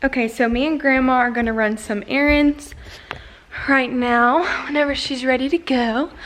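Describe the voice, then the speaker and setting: A woman speaks at a moderate pace in a high voice, her intonation fairly even, with noticeable noise behind her. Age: young. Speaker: lifestyle vlogger. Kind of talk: casual vlog talk to camera.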